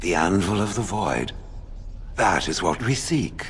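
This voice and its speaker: Clear background noise sits behind a man doing a put-on character voice. He talks at a fairly slow pace. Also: fairly low pitch for a man. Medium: video game. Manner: formal, stilted.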